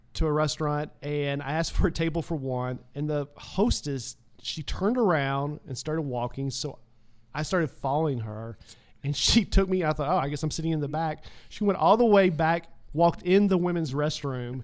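A man speaks in an ordinary speaking voice at a fairly high pitch. His pace is moderate, with ordinary pitch variation. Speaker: comedian. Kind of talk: casual chat. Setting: studio.

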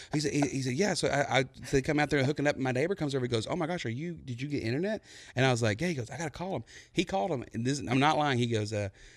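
Against a quiet background, a man with a Texan accent talks very fast in a fairly high pitch with lively intonation. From East Texas (Buna). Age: 30s. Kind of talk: casual interview chat.

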